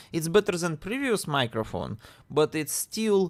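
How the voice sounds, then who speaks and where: A man with a Russian accent on a very clean recording with a silent background. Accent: Russian accent, noticeable. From Russia (Siberia). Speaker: indie game developer streamer. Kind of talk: casual live-stream chat while coding. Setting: live stream. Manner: slow; halting, repeats words. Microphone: new microphone with audio interface.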